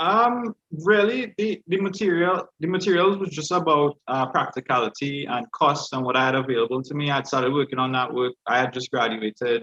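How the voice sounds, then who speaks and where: A man's fairly high, fairly quick voice with lively intonation and hardly any pauses. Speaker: artist. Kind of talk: panel discussion. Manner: concise.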